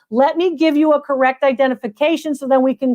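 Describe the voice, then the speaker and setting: In a dry, close sound with no echo, a woman with an American accent speaks at a high pitch and a fairly quick pace in an animated tone. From Connecticut. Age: 70s. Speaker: antiques appraiser. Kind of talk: live stream appraisal show.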